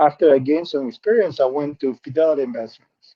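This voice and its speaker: A man is speaking. He has a Spanish accent. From Peru. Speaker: benefits specialist. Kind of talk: interview.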